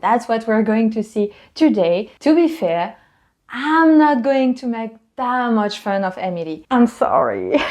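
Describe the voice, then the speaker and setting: A woman in a Parisian accent, fairly high in pitch, with lively intonation, a fairly slow pace and big swings in loudness, over a quiet background. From Paris, France. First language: French. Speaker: French tutor. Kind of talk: casual talk to camera. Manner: casual, chatty.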